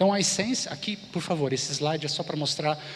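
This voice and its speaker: Talking at a fairly quick pace in a fairly high voice, a man is heard with audible room echo and noticeable background noise. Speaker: conference speaker, design thinking consultant. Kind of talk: conference talk.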